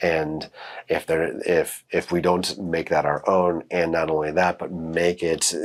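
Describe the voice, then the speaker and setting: Here a man speaks with a very deep, low pitch. His intonation stays monotone and flat. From Caribbean. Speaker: therapist. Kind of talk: educational talk. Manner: halting.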